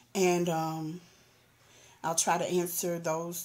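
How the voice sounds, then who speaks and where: In a Southern US accent, a woman speaks at a fairly low pitch with monotone, flat intonation. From US South. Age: 40s. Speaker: vlogger. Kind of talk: personal testimony. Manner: halting, many fillers.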